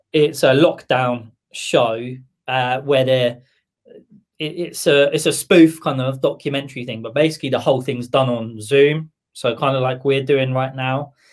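Fairly slow, fairly even speech from a man at a medium pitch, with a southern English accent. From southern England. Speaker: music producer and label boss. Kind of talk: casual chat. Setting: live stream.

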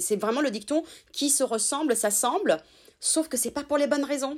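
Here a woman is speaking. She keeps a moderate pace. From Italy, raised in France from childhood. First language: Italian (speaking French). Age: 30s. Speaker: sex therapist. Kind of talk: interview.

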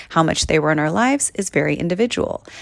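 A woman talks at a very fast pace with a fairly low pitch. Her tone is warm and upbeat. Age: 40s. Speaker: podcast host and actor. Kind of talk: reading aloud from own book. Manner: warm, upbeat.

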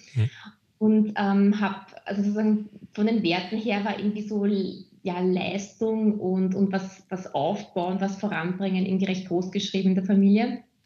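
A somewhat breathy woman's voice at medium pitch, dark and mellow in tone, with monotone, flat intonation at a moderate pace. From Austria, Vienna. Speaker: HR manager and community lead. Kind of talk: interview. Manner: hesitant, many fillers.

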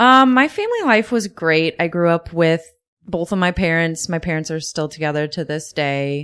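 With an American accent, the speaker uses lively intonation at a moderate pace. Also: woman, fairly low pitch for a woman. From Wood River, Illinois. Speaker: podcast guest. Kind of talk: casual interview.

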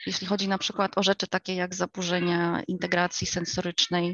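A woman's plain, everyday voice, medium in pitch, at a fairly quick pace. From United States. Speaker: homeschooling mother. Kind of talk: interview.

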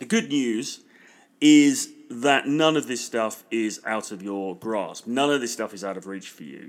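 A man with a British accent, talking fairly slowly on a very clean recording against a silent background. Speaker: podcast host and dating and business coach. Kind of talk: solo podcast monologue promoting a free course. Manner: enthusiastic.

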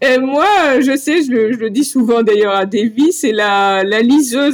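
This woman has an unremarkable speaking voice, pitched fairly high, with lively intonation. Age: 40s. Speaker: long-distance cyclist. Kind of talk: interview.

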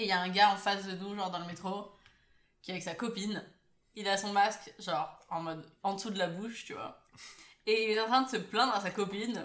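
A woman talks at a fairly quick pace and medium pitch, her loudness swinging widely. Long pauses come often, and the room echo is audible. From Paris, France. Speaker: podcast co-host. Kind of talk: casual chat. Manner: animated.

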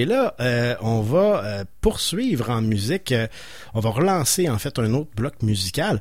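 Somewhat breathy and at a fairly slow pace, the speaker uses lively intonation in a Quebec accent. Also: man. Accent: Québécois French. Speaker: radio host. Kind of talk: radio show hosting. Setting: radio studio. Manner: halting, many repetitions.

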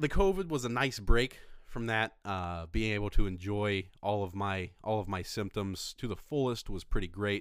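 A man with an American accent and a normal speaking voice talks at a moderate pace with lively intonation. The recording is very clean, with a silent background. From Indiana. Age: 20s. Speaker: comedy podcast host. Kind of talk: casual chat.

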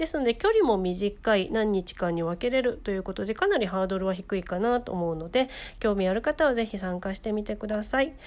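A normal speaking voice runs with lively intonation and hardly any pauses. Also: woman, medium pitch for a woman. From Ehime, Shikoku, Japan. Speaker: podcast host and freelance writer. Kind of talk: casual chat; scripted narration. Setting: live-streamed remote recording.

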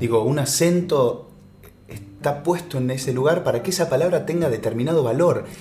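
Against noticeable background noise, a man with a fairly high pitch and ordinary pitch variation talks at a moderate pace. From Argentina, Salta. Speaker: actor and voice actor. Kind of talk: casual interview chat.

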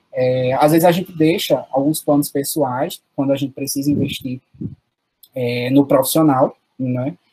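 A man speaks fairly slowly at a fairly high pitch, in a dark, mellow, somewhat breathy tone with fairly even intonation. The sound is dry and close, with no echo. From Paraíba backlands (sertão), Brazil. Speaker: teacher. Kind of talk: interview.

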